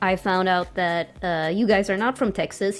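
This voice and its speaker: A woman's voice over music in the background. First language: Swedish. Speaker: game master. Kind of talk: casual chat. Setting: live stream.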